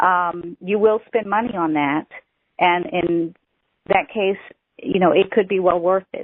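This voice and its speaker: Talking at a fairly slow pace with long, frequent pauses, a woman of medium pitch speaks with a Southern US accent. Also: ordinary pitch variation. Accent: Southern US twang. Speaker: author. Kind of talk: teleseminar Q&A.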